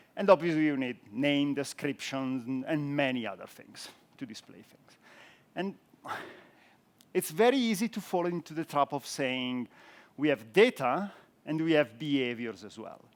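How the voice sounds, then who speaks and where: A man with an Italian accent speaks at a moderate pace and a fairly high pitch, leaving long, frequent pauses. His intonation is lively and his loudness swings widely. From Italy. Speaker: software architect, conference speaker. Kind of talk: conference talk.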